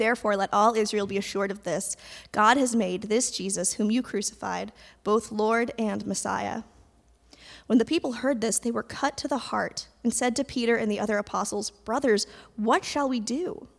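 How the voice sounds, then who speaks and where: At a moderate pace, a woman speaks in a normal speaking voice, fairly high in pitch with ordinary pitch variation, in a very clean recording with a silent background. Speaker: scripture reader. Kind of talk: reading aloud. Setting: church.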